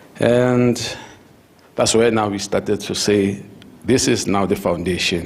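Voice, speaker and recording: A fairly low-pitched man's voice with fairly even intonation over noticeable background noise. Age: 60s. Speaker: retired education administrator, foundation founder. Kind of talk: interview at leadership dialogue. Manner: halting, with frequent fillers.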